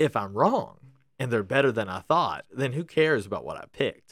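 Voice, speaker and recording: With vocal fry and very wide pitch swings, a man talks at a fairly high pitch. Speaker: podcast host. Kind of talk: casual chat. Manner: chatty, humorous.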